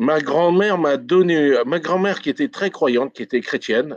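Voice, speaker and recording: Against a quiet background, a man is heard with a dry, close sound and no echo. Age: 60s. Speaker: retired police detective and healer. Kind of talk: interview. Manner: halting.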